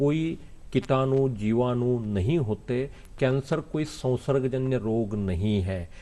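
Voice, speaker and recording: His voice has a medium pitch and a dark, mellow tone. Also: ordinary pitch variation. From Maharashtra, India. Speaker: cancer doctor. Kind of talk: TV interview.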